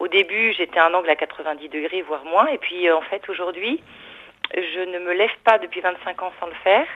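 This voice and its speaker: Over noticeable background noise, a woman speaks at a fairly quick pace and medium pitch with ordinary variation. Her loudness swings a lot. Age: 40s. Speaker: caller. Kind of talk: call-in testimony.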